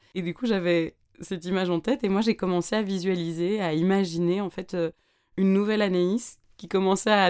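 This woman speaks at a moderate pace with a medium pitch and fairly even intonation. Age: 20s. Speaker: podcast host. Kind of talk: casual monologue.

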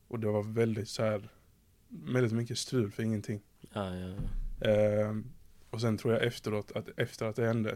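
Here a man speaks in a fairly low pitch with a dark, mellow tone. His intonation is monotone and flat, at a moderate pace. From southern Sweden, Skåne. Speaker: podcast host. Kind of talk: casual chat.

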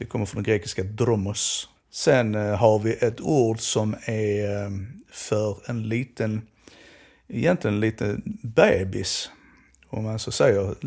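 Recorded very cleanly against a silent background, a man with a fairly low voice speaks very slowly with fairly even intonation. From southern Sweden, Skåne. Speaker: Romani language researcher. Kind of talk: educational conversation.

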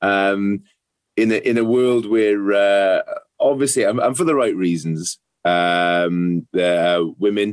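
With a Welsh accent, a man speaks fairly slowly, his pitch varying in an ordinary way. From Wales, South Wales valleys. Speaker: ex rugby player, psychotherapist. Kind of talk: casual interview. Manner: halting, many fillers and repetitions.

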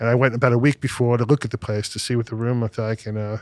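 A man with a New York accent at a very fast pace, the sound dry and close with no echo on a very clean recording with a silent background. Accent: New York American. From US Northeast, Brooklyn and Long Island, New York. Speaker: music producer and sound engineer. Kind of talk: casual chat.

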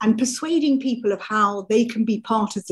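Somewhat breathy, a woman with a fairly high pitch speaks at a fairly quick pace. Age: 60s. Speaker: doctor specialising in women's health. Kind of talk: interview.

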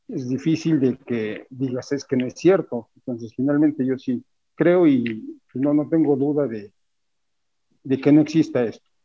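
This man talks at a fairly slow pace in a fairly high pitch, with ordinary pitch variation. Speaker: stagehand. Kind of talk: casual chat.

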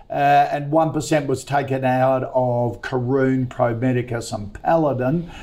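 A man with an Australian accent and a dark, mellow tone speaks at medium pitch and a fairly slow pace, with fairly even intonation and hardly any pauses. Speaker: business radio host. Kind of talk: live stock-picking talk show. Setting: studio.

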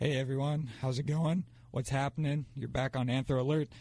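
A man talks in a somewhat breathy voice with a dark, mellow tone. His intonation is monotone and flat. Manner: chipper, brisk, friendly, with fillers.

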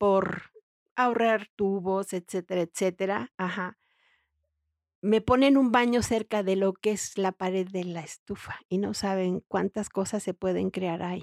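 A woman's medium-pitched voice with fairly even intonation, dry and close with no echo. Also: very clean recording, silent background. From Mexico. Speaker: feng shui consultant and interior decorator. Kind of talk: interview.

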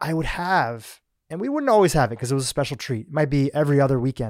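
This man has a plain, everyday voice, pitched fairly high, with lively intonation. The sound is dry and close with no echo, the recording very clean against a silent background. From US, Gujarati family from Kenya. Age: 40s. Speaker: podcast host. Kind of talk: interview.

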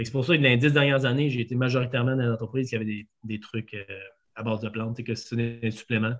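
A man with a Quebec accent, medium in pitch, very fast and monotone, with flat intonation. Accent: Québécois French. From Quebec City region, Quebec. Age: 40s. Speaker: food entrepreneur. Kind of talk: interview. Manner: hesitant, many fillers.

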